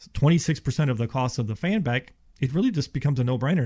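On a very clean recording with a silent background, a somewhat breathy man with an American accent speaks at a very fast pace with ordinary pitch variation. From Ohio, then Houston from age twelve. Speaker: insulation contractor. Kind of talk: radio talk show interview. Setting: radio studio.

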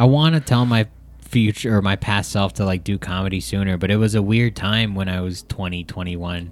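A man with an unremarkable speaking voice talks fairly quickly in an American accent, at a fairly low pitch with ordinary pitch variation. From Filipino American. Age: 30s. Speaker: comedian. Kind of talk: casual chat.

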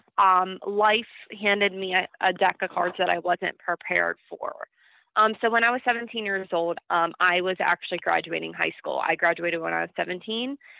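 Her pitch is medium, and this woman keeps a fairly even intonation. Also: moderate pace. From Pittsburgh, Pennsylvania. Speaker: beauty pageant winner. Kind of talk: interview.

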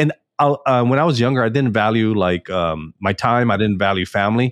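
A man with an American accent speaks in a plain, everyday voice, medium in pitch with lively intonation, the sound dry and close with no echo. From Texas, Houston. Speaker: entrepreneur. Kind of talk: podcast interview.

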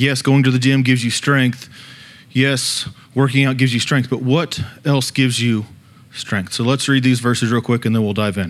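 A man talks in a normal speaking voice at a moderate pace. His loudness is very even and his intonation fairly even. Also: medium pitch for a man. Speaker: student leader preacher. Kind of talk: sermon. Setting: church.

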